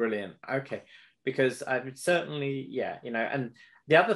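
A man with a plain, everyday voice speaks fairly quickly at a fairly high pitch with lively intonation. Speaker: podcast host and animal behaviour researcher. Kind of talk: interview conversation. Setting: video call.

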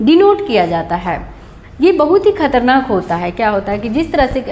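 A woman's moderately paced speech, pitched high and swinging very widely in pitch. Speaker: nursing tutor. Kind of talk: lecture. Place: home room. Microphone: camera far.

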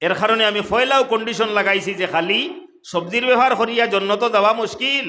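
A man's raised, projected voice, high-pitched and fairly even in intonation, in a Sylheti accent with audible room echo. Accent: Sylheti-accented Bengali. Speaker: Islamic preacher. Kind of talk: sermon.

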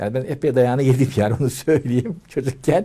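A man speaks at a moderate pace and medium pitch. His tone is dark and mellow, and somewhat breathy. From Turkey, Ankara. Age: 70s. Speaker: retired translator; interviewee. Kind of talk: interview. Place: home room.

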